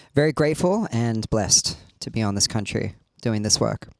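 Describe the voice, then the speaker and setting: Pitched in the medium range, the man's voice moves at a moderate pace. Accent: Australian. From Sydney, Australia. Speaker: rapper and drummer. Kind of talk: interview.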